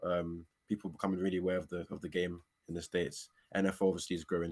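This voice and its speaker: A man speaks with an English accent. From London, England. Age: young. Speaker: American football player. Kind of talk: interview. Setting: walking outdoors.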